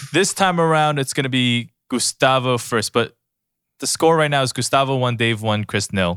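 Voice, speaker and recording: At a moderate pace and with ordinary pitch variation, an unremarkable speaking voice comes through a very clean, dry, close recording with no echo and a silent background. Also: man, medium pitch for a man. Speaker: producer.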